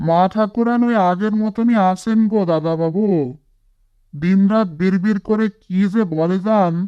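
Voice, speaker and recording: Using a cartoonish character voice, a man speaks at a high pitch and moderate pace, with very even loudness and fairly even intonation. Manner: deferential, rustic.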